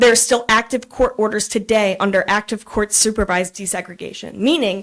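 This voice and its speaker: An unremarkable speaking voice from a woman with an American accent, medium pitch, ordinary pitch variation and a fairly quick pace. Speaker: public commenter. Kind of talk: public comment at council meeting. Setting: council meeting room.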